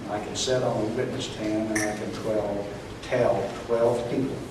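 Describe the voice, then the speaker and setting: Against noticeable background noise, a man with an American accent talks at a fairly slow pace in a monotone, flat intonation. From Central Illinois. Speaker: post office worker. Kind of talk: rally speech. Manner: soft-spoken.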